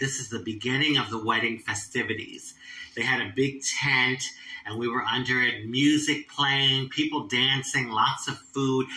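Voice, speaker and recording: The speaker has an American accent and a moderate pace. Intonation stays fairly even over noticeable background noise. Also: woman. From Philadelphia, US. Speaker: transgender activist and show host. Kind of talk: casual storytelling monologue.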